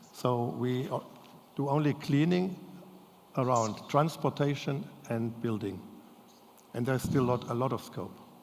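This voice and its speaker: A man at a medium pitch with ordinary pitch variation, fairly slow with long, frequent pauses, in audible room echo. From Germany. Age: 70s. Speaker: family business owner. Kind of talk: audience Q&A; lecture. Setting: stage with audience. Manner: halting.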